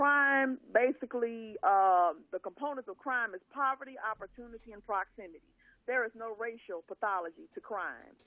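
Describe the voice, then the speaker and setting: A woman with an American accent speaks in an ordinary speaking voice, fairly high in pitch, at a moderate pace. Her pitch variation is ordinary, while her loudness swings widely. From US South, Louisiana. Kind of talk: casual chat.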